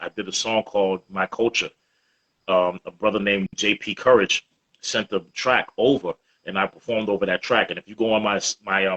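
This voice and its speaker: A man's fairly low voice, monotone and flat, at a fairly quick pace. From Boston, Roxbury. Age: 40s. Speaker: hip-hop artist. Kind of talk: interview.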